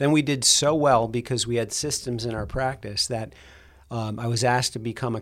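This man has an American accent and a medium-pitched voice. He talks at a moderate pace in a very clean recording with a silent background. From New Jersey, US. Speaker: chiropractor and diet program clinician. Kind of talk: interview.

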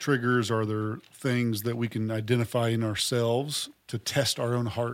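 Monotone and flat in intonation, a man speaks at a fairly slow pace in a medium pitch. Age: 40s. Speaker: university president and podcast host. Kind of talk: casual chat.

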